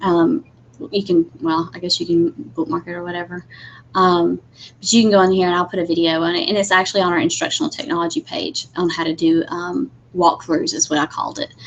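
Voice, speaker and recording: A woman's fairly low voice, a plain, everyday voice, with lively intonation and a fairly quick pace. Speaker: instructional technology trainer for teachers. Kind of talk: webinar tutorial. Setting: live video webinar with screen share. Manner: casual, many fillers.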